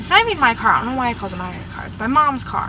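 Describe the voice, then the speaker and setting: Fairly quick speech from a woman, with noticeable noise in the background. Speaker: fangirl vlogger. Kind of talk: casual talk to camera. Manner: rambling.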